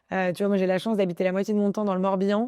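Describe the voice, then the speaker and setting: Against a quiet background, a woman speaks with a dark, mellow tone at a medium pitch. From Paris, France. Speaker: entrepreneur. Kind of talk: interview. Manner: animated; many fillers and restarts.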